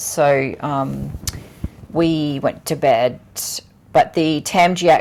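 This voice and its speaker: Someone with a strong Australian accent talks at a very slow pace. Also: woman. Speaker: travel vlogger. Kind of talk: casual chat. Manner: animated.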